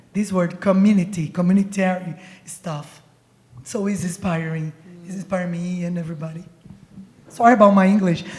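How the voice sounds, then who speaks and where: Noticeable background noise accompanies a medium-pitched woman with a Brazilian Portuguese accent. She talks at a fairly quick pace with long, frequent pauses and big swings in loudness. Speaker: poet. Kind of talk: panel discussion. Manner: animated.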